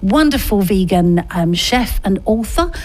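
Noticeable background noise sits behind the recording. A woman speaks with lively intonation. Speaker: radio host. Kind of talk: radio dj patter. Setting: studio. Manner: animated; warm, chatty.

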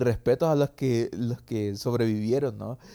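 At a fairly slow pace, a man speaks with a dark, mellow tone at a medium pitch, the sound dry and close with no echo. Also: very clean recording, silent background. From El Salvador, San Salvador. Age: young. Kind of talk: casual interview.

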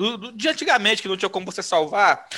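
A man projects a raised voice with a bright, sharp tone in a very clean recording with a silent background. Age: 30s. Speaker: podcast guest, gamer. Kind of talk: casual chat. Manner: halting, repeats words.

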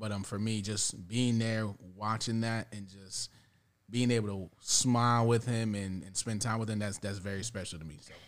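Using an ordinary speaking voice, a man talks at a moderate pace with fairly low pitch, fairly even intonation and big swings in loudness. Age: 30s. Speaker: father. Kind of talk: casual chat.

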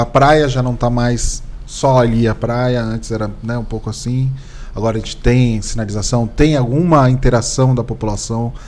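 A man speaks with monotone, flat intonation amid audible room echo. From Brazil, São Vicente (São Paulo coast). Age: 40s. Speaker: municipal communications secretary and podcast host. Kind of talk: casual interview chat.

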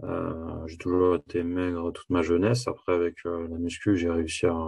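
A somewhat breathy man with a very deep, low pitch at a moderate pace. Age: 20s. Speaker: coaching client giving a testimonial. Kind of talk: testimony. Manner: halting.

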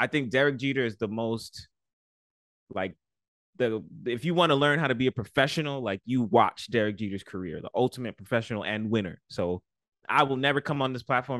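A man with a medium pitch and a New York accent, at a very fast pace. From New York, the Bronx. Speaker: podcast host. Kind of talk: casual chat.

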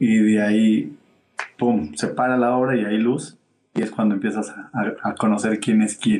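A man speaks at a fairly slow pace in a dark, mellow tone, his fairly low pitch moving with ordinary variation. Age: 30s. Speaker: theatre producer. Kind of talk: casual interview. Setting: live stream.

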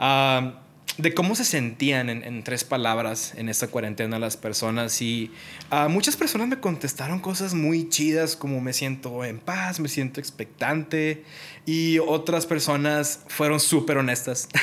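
Fairly slow speech from a man at a fairly high pitch, with ordinary pitch variation and noticeable background noise. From Mexico, Monterrey, Nuevo León. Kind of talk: casual devotional monologue.

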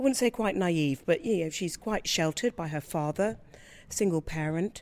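Very clean recording with a silent background. A woman with a fairly low pitch speaks with lively intonation. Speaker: opera singer. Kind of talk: interview. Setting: theatre foyer. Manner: clear, passionate.

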